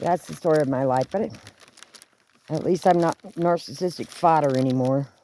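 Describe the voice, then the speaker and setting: The pace is moderate. There are long, frequent pauses. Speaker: video blogger. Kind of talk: casual vlog monologue. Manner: halting.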